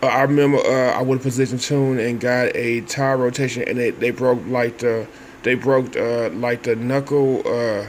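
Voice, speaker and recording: A man with an American accent speaks at medium pitch. His intonation is monotone and flat, with noticeable background noise. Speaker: vlogger. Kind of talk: casual monologue. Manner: halting.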